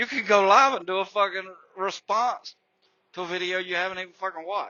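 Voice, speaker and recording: An animated man with an American accent and a high pitch speaks at a fairly quick pace. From Florida, US South. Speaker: YouTuber, ex-trucker. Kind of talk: drama commentary rant. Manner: animated, profane.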